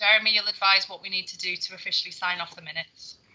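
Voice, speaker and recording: Light background noise sits under the recording. A woman speaks with fairly even intonation. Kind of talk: meeting chairing. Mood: friendly, laughing at times. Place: home room. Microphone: video call.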